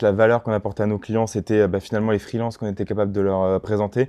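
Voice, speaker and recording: With a slight Toulouse accent, a man talks at a very fast pace in a dark, mellow tone. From France, Toulouse. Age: 30s. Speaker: startup cofounder. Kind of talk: podcast interview. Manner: hesitant, many fillers.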